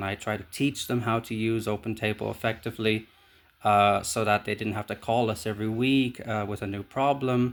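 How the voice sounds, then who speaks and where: On a very clean recording with a silent background, a man at medium pitch talks at a fairly quick pace in a monotone, flat intonation. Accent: Irish. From Ireland. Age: 30s. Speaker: job applicant. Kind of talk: video job application self-introduction. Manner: hesitant, many fillers.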